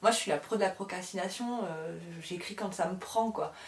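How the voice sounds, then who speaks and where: Amid noticeable background noise, a woman talks at a fairly quick pace with medium pitch and fairly even intonation. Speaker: published author and book YouTuber. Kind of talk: casual chat to camera. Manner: fast; rambling, hesitant with many fillers.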